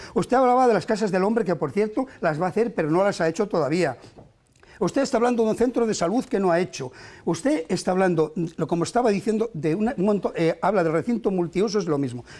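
Lively intonation carries a man's speech. He goes at a very fast pace. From not from the town, from elsewhere in Spain. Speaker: mayoral candidate; candidate. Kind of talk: heated debate. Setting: TV studio. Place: studio. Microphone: lapel.

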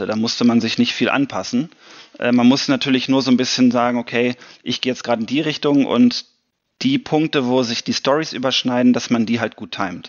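Fairly quick in pace, a man's voice holds a medium pitch. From Germany. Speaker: science fiction author. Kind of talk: interview answer. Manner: casual, enthusiastic.

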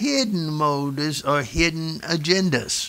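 A man's bright, sharp voice, high in pitch, with ordinary pitch variation. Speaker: pastor. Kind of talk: sermon. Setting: church. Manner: animated. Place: church.

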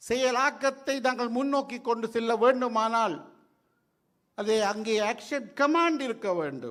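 A man with an extremely high voice and a Sri Lankan accent. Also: ordinary pitch variation. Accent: Sri Lankan Tamil. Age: 60s. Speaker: retired judge. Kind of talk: public speech.

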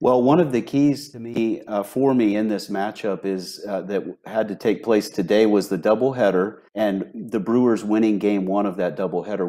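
In a quiet background, a man speaks at a moderate pace with a fairly low pitch, a dark, mellow tone and ordinary pitch variation. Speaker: sports betting analyst, remote guest. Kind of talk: commentary. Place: home room. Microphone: earbuds.

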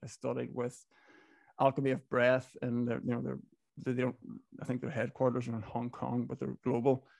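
Against a quiet background with a dry sound and no echo, a man with a Donegal accent talks at a fairly quick pace in a dark, mellow tone. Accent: Donegal Irish accent, sounds Northern Irish. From Ireland, Inishowen, Donegal. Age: 30s. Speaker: business owner, club founder. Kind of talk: podcast interview. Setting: video call. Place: home room. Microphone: studio mic.

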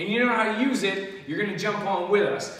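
Amid audible room echo, a man with a high pitch talks at a fairly quick pace with ordinary pitch variation. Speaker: fitness instructor. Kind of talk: workout tutorial intro. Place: gym.

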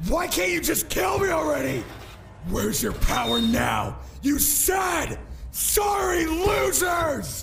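Shouting in a put-on character voice at a fairly slow pace, the speaker is heard over clear background noise. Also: man. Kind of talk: audio drama. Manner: anguished, shouting.

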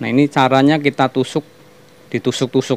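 A man's medium-pitched voice with monotone, flat intonation and a dry sound with no echo. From Banyumas, Central Java, Indonesia; Central Java, Indonesia. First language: Javanese (Banyumasan) (speaking Indonesian). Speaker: cooking channel host. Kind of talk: cooking tutorial. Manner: hesitant, many fillers. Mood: relaxed, friendly. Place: kitchen. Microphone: phone near.

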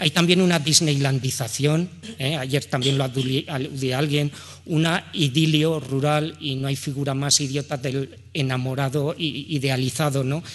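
Against a quiet background, a man with a fairly high pitch speaks fairly slowly in a monotone, flat way. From Aragon, Spain. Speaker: economist and researcher; speaker. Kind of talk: panel talk. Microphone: podium.

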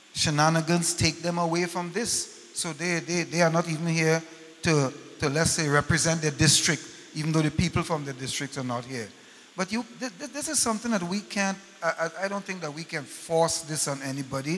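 High-pitched male speech at a fairly quick pace with ordinary pitch variation. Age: 70s. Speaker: member of public at town meeting; public panel member. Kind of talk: public meeting comment. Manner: halting, many repeated words. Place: hall. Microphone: handheld.

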